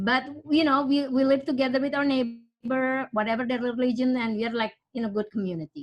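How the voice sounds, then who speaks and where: A high-pitched woman with an Indonesian accent, at a moderate pace with ordinary pitch variation, against a quiet background. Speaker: parishioner sharing her story. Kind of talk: personal testimony. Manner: halting.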